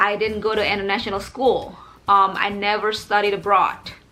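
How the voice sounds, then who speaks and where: Music plays behind a woman's voice. She speaks at a medium pitch with fairly even intonation. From Indonesia. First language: Indonesian. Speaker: English teacher. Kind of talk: vlog monologue.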